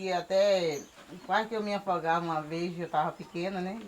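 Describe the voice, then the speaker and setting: Speech comes at a fairly slow pace with ordinary pitch variation, and there is noticeable background noise. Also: woman. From Bahia, Brazil. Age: 50s. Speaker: shellfish gatherer and farmer. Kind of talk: oral history interview.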